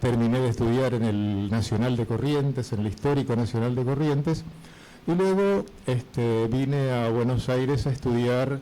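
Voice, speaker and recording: At a moderate pace, a man with a medium-pitched, dark, mellow voice speaks with very even loudness and ordinary pitch variation. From Formosa, northern Argentina. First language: Guaraní (speaking Spanish). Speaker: retired teacher and Guaraní translator. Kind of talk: radio interview.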